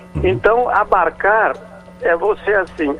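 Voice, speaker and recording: High pitch from a man at a moderate pace, over noticeable background noise. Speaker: professor, etymology columnist. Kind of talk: radio explanation of word origins.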